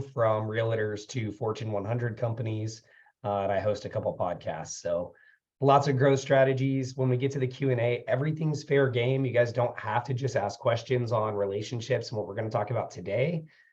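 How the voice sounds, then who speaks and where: Speaking at a fairly quick pace, a man sounds somewhat breathy, with a medium pitch and fairly even intonation. The background is quiet. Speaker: business consultant and webinar presenter. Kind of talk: webinar presentation.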